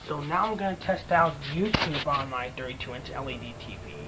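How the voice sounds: Over faint background noise, a man with a fairly high pitch and a bright, sharp tone speaks at a moderate pace with fairly even intonation.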